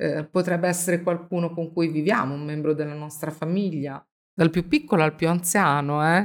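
With an unremarkable speaking voice, a woman talks at a moderate pace, her pitch fairly low and her intonation fairly even. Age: 50s. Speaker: Bible study host. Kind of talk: religious discussion.

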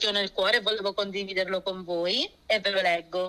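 Her tone is bright and sharp. The woman speaks at a fairly quick pace. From born in Germany, Lecce family (Apulia), moved to Florence at 17. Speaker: pastor's wife and early-childhood educator. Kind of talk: radio interview testimony.

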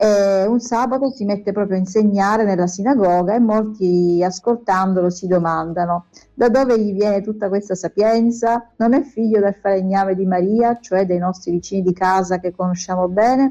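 At a moderate pace, a woman speaks with a dark, mellow tone and medium pitch. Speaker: educator and music school director. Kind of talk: interview. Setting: remote live stream link.

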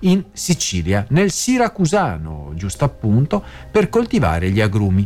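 A man's medium-pitched voice with a Venetian accent. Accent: Venetian Italian. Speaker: radio host. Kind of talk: radio news segment.

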